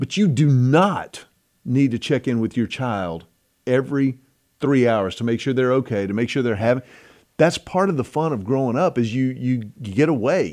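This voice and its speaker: With an American accent and an unremarkable speaking voice, a man talks at a moderate pace and medium pitch with lively intonation. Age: 50s. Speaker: podcast host. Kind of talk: casual chat.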